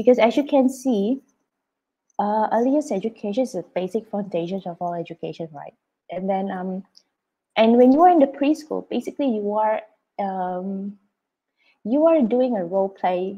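At a moderate pace, a woman speaks in a dark, mellow tone at a medium pitch. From Indonesia. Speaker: preschool principal; webinar presenter, early years educator. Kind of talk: presentation. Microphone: video call.

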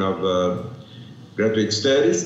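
A man talks at a fairly slow pace with a Portuguese accent. His intonation is lively, and the room echo is audible. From Brazil. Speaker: architecture professor; presenter. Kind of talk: conference presentation. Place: hall.

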